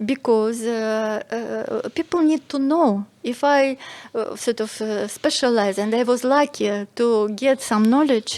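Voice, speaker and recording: A woman with a high pitch and ordinary pitch variation speaks at a fairly slow pace. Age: 60s. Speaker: medical doctor and psychology lecturer. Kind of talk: podcast interview. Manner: halting, many fillers.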